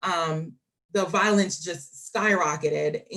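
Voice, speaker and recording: In an American accent, a woman with an ordinary speaking voice talks at a fairly low pitch with fairly even intonation. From Jamaica, then US from age ten. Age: 30s. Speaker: applicant for a city task force. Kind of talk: interview.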